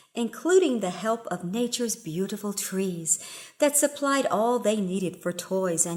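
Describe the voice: The delivery is plain reading aloud with lively intonation.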